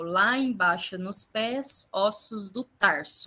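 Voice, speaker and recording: Bright and sharp in tone, the voice moves at a very slow pace. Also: woman. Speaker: anatomy teacher. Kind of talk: lecture.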